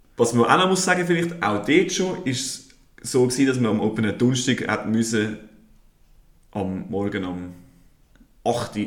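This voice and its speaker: At medium pitch, a man speaks at a moderate pace with very wide pitch swings and long, frequent pauses, with audible room echo. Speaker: podcast host. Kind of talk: casual chat.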